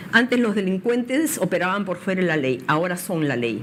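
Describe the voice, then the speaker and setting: Over noticeable background noise, a woman at medium pitch talks fairly quickly with lively intonation. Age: 60s. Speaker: political candidate. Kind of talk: interview.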